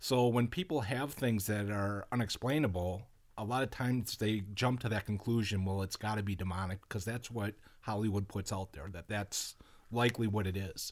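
An unremarkable speaking voice from a man, fairly low-pitched and fairly quick, with ordinary pitch variation, in a very clean recording with a silent background. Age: 40s. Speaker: retired police officer, paranormal investigator. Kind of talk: interview.

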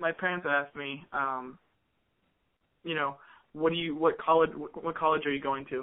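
With an American accent, a man speaks in a fairly high pitch and a monotone, flat intonation, leaving long, frequent pauses. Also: moderate pace. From US Midwest, Columbus, Ohio. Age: 20s. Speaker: musician. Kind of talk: casual chat. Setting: phone call.

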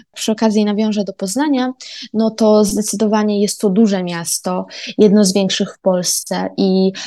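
Against a quiet background, a woman talks at a medium pitch. Her intonation is monotone and flat. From Poland, Koszalin (Pomerania). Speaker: university student. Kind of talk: podcast monologue.

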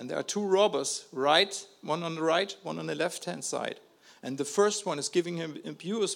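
A man with a German accent speaks in a high voice, his pitch varying in an ordinary way. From Germany. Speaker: missionary. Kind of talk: testimony. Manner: halting, with repeated words.

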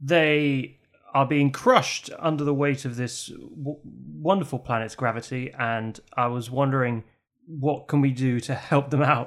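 With an unremarkable speaking voice, a man talks at a fairly slow pace and a fairly high pitch, with ordinary pitch variation. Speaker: role-play podcast player. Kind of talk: in-character improvised role-play. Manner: playful, laughs often.

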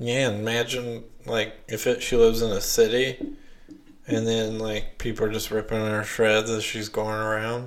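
Monotone, flat intonation at a moderate pace, with a Southern US accent. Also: man, medium pitch for a man. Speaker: podcast host. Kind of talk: casual chat. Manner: filler-heavy, hesitant.

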